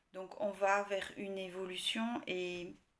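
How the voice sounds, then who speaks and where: This woman talks at a medium pitch with fairly even intonation. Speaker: tarot card reader. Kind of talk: tarot reading video. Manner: slow; soft-spoken.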